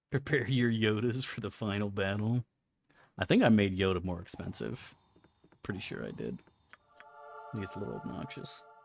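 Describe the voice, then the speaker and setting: With music in the background, a man talks at a moderate pace with ordinary pitch variation and long, frequent pauses. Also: fairly low pitch for a man. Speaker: video game streamer. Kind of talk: casual gameplay commentary.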